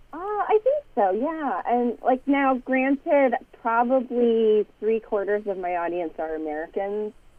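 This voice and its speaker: With very wide pitch swings and hardly any pauses, a woman talks at a fairly slow pace in a fairly high voice. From Canada. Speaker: atheist podcast host. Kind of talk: casual chat.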